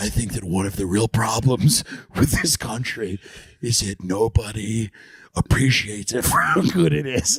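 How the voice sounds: A man puts on a character voice, keeping a moderate pace and a medium pitch.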